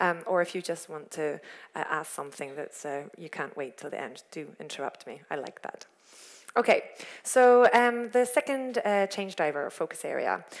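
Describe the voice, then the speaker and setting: At a moderate pace, the voice moves through very wide pitch swings and big swings in loudness on a very clean recording with a silent background. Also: woman, medium pitch for a woman. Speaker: corporate sustainability lead giving a talk. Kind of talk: lecture. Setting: stage with audience.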